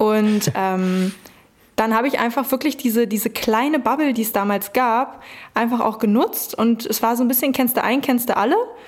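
Using a normal speaking voice, a woman talks at a fairly quick pace with fairly high pitch and ordinary pitch variation. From Brandenburg, Germany. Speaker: hip-hop agency founder. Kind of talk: interview.

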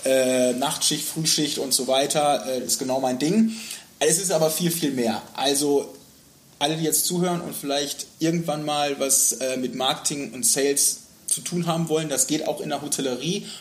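Noticeable background noise sits behind a man's voice. He speaks at a moderate pace with fairly high pitch and ordinary pitch variation. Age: 30s. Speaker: hotel sales and marketing manager. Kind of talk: casual interview. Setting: hotel lounge room.

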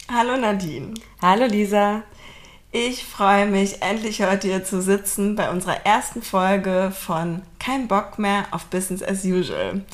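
A woman talks at a fairly slow pace and medium pitch. She has a plain, everyday voice with fairly even intonation. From Berlin, Germany. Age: 30s. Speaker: podcast co-host, team leader. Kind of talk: casual chat.

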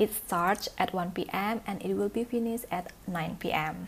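A woman speaks with an Indonesian accent. Her pace is very slow. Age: 20s. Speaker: office worker. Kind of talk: interview. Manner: hesitant with many fillers.

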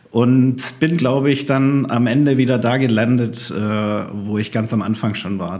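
With noticeable background noise and audible room echo, a man speaks at a fairly slow pace, using a medium pitch and ordinary pitch variation. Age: 40s. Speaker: former missionary and refugee aid worker. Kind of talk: casual chat.

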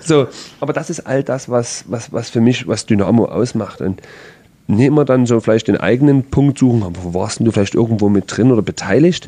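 This man's tone is dark and mellow. His pitch moves in an ordinary way. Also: medium pitch for a man, moderate pace. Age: 30s. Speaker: professional footballer, team captain. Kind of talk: casual interview. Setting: club training facility.

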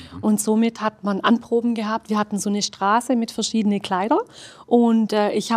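A woman with an Arabic accent talks at a fairly quick pace and a fairly high pitch. The sound is dry and close, with no echo. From Swabia, Germany (Hildrizhausen). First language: Arabic (speaking German). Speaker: costume tailor and esotericist. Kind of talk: casual interview.

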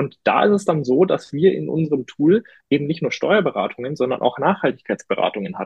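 A somewhat breathy man. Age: 20s. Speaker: climate-tech partner manager. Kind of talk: podcast interview. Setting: studio. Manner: hesitant, many fillers.

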